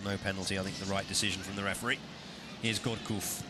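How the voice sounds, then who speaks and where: This man's voice sits fairly low in pitch. Noticeable background noise and audible room echo surround him. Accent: English. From England. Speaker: football commentator. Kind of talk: live commentary.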